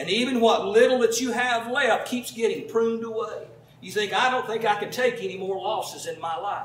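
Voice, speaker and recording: Audible room echo surrounds a man with an extremely high pitch. He talks at a fairly quick pace with fairly even intonation. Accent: Southern US. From US South. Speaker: pastor. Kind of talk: sermon. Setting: church with congregation. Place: home room.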